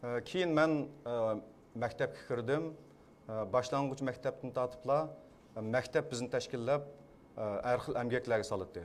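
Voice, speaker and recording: Speaking with a Xinjiang accent, a man uses medium pitch, ordinary pitch variation and a moderate pace. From Kashgar, East Turkestan (Xinjiang). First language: Uyghur. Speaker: poet and film director. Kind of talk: press conference testimony. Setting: press conference. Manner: halting.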